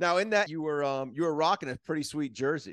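Against a quiet background, a man with an unremarkable speaking voice and an American accent talks at a fairly quick pace with ordinary pitch variation. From Miami, Florida. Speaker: podcast host. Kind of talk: casual chat.

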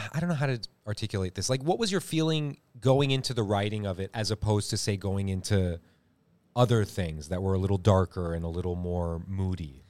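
In an American accent, a man with an ordinary speaking voice talks at a fairly quick pace and a fairly low pitch, his intonation lively, on a very clean recording with a silent background. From California. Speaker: actor. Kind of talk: casual chat.

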